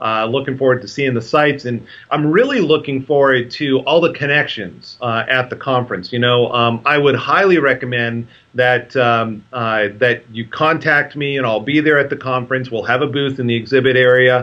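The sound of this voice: A man at medium pitch and a moderate pace, with ordinary pitch variation and few pauses.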